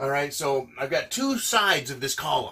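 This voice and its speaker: Lively intonation at a moderate pace, in an American accent. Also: man. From United States. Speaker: prepping channel host. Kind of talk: whiteboard talk to camera.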